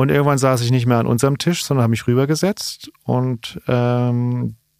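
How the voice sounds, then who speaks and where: An ordinary speaking voice from a man at a moderate pace, on a very clean recording with a silent background. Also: dry, close sound with no echo. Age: 40s. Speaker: stand-up comedian. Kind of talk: casual chat. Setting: studio.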